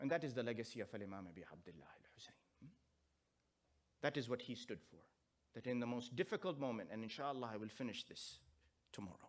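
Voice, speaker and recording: A man talks at a very fast pace, with big swings in loudness. Long, frequent pauses break up his speech. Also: medium pitch for a man. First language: Urdu. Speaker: Islamic scholar. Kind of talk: sermon.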